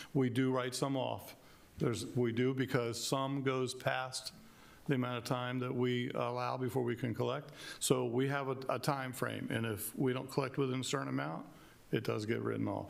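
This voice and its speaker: At a moderate pace, the speaker keeps fairly even intonation, with audible room echo. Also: man, medium pitch for a man. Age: 60s. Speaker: county emergency services official. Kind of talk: public meeting testimony.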